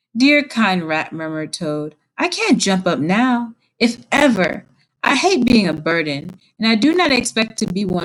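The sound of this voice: Lively intonation marks an unforced reading voice, with the background kept quiet.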